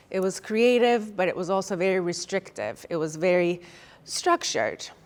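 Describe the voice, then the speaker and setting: Medium-pitched female speech with ordinary pitch variation. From Turkey, later United States. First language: Turkish. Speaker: fitness trainer and motivational speaker. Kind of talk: personal story talk to an audience.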